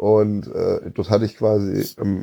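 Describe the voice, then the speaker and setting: A man's fairly low, dark and mellow voice against a quiet background. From Munich, Bavaria. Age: 30s. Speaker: home care service owner, metal fan. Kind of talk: casual chat.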